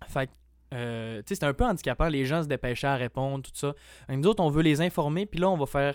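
A man speaks in an ordinary speaking voice. The recording is very clean and dry, close with no echo and a silent background. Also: fairly high pitch for a man, ordinary pitch variation, fairly quick pace, big swings in loudness. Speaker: college student association representative. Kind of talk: casual interview chat.

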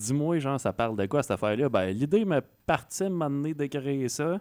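Heard over a silent background in a very clean recording, an unremarkable speaking voice moves at a moderate pace with lively intonation. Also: man. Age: 30s. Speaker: radio host. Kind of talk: interview.

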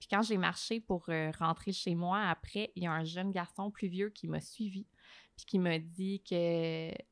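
A woman speaks at a fairly slow pace. The recording is very clean with a silent background, and the sound is dry and close with no echo. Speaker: journalist and TV host. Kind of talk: podcast interview. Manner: animated.

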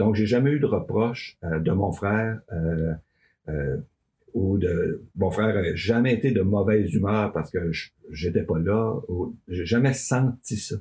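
Very slowly and somewhat breathily, a man with a Quebec accent speaks in a dark, mellow tone with ordinary pitch variation. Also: fairly low pitch for a man. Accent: Québécois French. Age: 60s. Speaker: farm union leader. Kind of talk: interview. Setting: studio.

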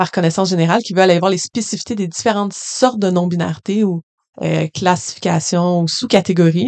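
This woman has an unremarkable speaking voice, medium in pitch with ordinary variation. She talks at a fairly quick pace, and the sound is dry and close with no echo. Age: 20s. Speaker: school workshop facilitator. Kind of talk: interview.

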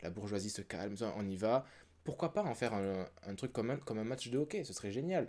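Fairly quick speech in a dark, mellow tone with lively intonation, on a very clean recording with a silent background. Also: man, medium pitch for a man. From France. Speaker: theatre artist. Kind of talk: casual chat.

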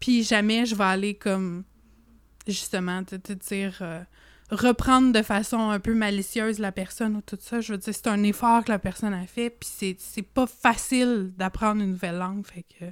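In a very clean recording with a silent background, a woman of medium pitch speaks at a moderate pace with fairly even intonation and big swings in loudness. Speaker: podcast co-host. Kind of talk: casual chat.

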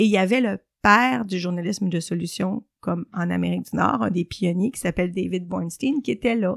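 In a very clean recording with a silent background and a dry, close sound with no echo, a woman speaks at medium pitch with lively intonation and vocal fry. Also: fairly quick pace. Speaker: journalist and columnist. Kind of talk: interview.

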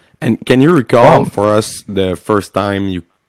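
A man speaks with a Quebec French accent in a fairly low pitch, his pitch moving in an ordinary way. The pace is fairly slow, and the sound is dry and close with no echo. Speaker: podcast host. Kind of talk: interview.

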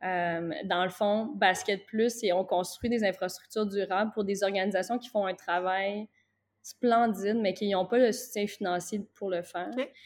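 A woman with an unremarkable speaking voice talks at a fairly slow pace and medium pitch, her intonation fairly even against a quiet background. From Quebec (Gatineau). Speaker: basketball coach. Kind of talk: interview.

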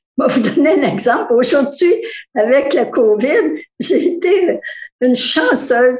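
The speech moves at a fairly slow pace with long, frequent pauses. The pitch swings very widely while the loudness stays very even. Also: woman, high pitch for a woman. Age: 80s+. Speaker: retired co-op tenant. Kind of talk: testimony. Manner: halting.

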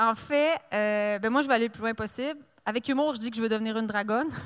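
A woman's unremarkable speaking voice at a fairly high pitch, with ordinary pitch variation and a fairly quick pace, in a very clean recording with a silent background. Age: 40s. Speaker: author and entrepreneur. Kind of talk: interview at a live book fair. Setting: live broadcast at book fair.

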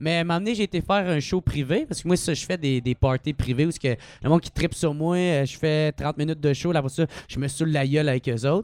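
A man speaks at a very fast pace, his fairly high pitch showing ordinary variation. The sound is dry and close, with no echo. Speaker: comedian. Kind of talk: casual chat.

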